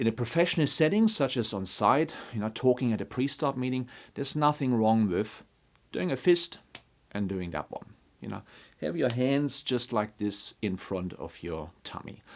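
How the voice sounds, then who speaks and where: Over a very clean recording with a silent background, a man with a non-native accent speaks at a medium pitch and a moderate pace with lively intonation. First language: not English. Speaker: construction leadership trainer. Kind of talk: tutorial. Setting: talking to a camera.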